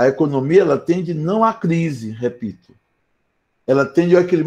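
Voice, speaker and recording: A man speaks in a high pitch at a moderate pace. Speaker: philosophy professor. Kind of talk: lecture. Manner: soft-spoken; conversational.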